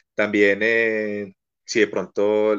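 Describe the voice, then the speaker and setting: A man is heard over a quiet background. The sound is dry and close, with no echo. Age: 20s. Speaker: marching band teacher. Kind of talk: casual chat.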